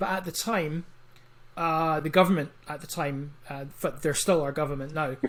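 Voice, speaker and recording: Someone with an Edinburgh accent talks at a moderate pace with fairly even intonation. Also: man, fairly high pitch for a man. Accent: Scottish (Edinburgh). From Scotland, Edinburgh. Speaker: comic book writer. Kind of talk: interview.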